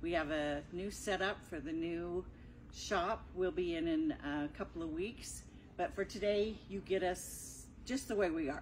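Vocal fry runs through speech at a fairly slow pace with light background noise. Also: woman. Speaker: quilting instructor. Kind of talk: tutorial. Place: shop. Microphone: camera far.

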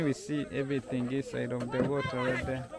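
Over loud background noise, a man speaks at a fairly slow pace with a dry sound and no echo. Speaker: travel vlogger. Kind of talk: casual vlog chat. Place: waterside. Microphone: phone near.

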